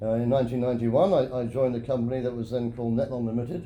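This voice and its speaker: A man at a very fast pace, with audible room echo. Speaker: geosynthetics engineer. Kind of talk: interview. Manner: halting.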